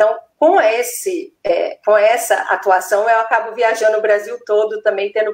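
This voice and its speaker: Her pitch fairly high and its variation ordinary, the woman talks at a fairly slow pace. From Minas Gerais, Brazil. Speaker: neuropsychopedagogue and educator. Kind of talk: live-stream interview.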